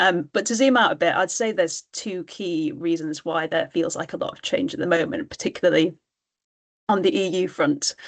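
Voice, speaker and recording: Someone with a British accent speaks at a moderate pace, with very wide pitch swings and big swings in loudness. The background is quiet. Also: woman, medium pitch for a woman. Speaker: trade policy panelist. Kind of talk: webinar panel discussion. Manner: hesitant, many filler words.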